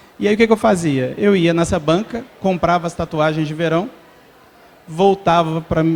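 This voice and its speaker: This man has a Belo Horizonte accent and a high pitch. His intonation stays fairly even. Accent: Belo Horizonte (mineiro). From Minas Gerais, Brazil (Belo Horizonte). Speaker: entrepreneur, startup founder. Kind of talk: talk to live audience. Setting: stage with audience. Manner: conversational, informal.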